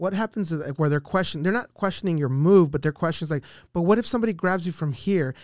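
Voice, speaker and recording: A man talks at a very fast pace in a high voice with ordinary pitch variation. The recording is very clean with a silent background and a dry, close sound with no echo. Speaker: Army veteran and podcaster. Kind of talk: casual chat.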